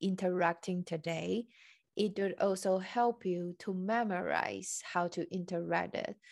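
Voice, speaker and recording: A woman at medium pitch, very slow pace and fairly even intonation. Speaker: podcast host and Chinese coach. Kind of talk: interview, casual conversation.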